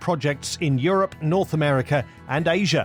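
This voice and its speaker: Music in the background behind a man with a fairly high pitch and lively intonation. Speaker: podcast host. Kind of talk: podcast introduction.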